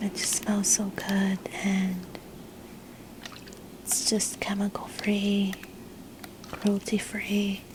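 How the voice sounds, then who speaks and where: Soft-spoken, very slow speech with long, frequent pauses and noticeable background noise. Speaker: ASMR creator. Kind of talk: ASMR soft-spoken narration.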